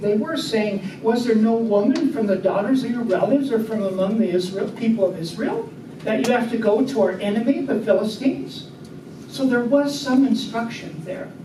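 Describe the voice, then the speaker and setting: Against noticeable background noise and audible room echo, a man speaks at a moderate pace with an extremely high pitch. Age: 70s. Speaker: Bible class teacher. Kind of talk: Bible study class discussion. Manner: conversational, interactive.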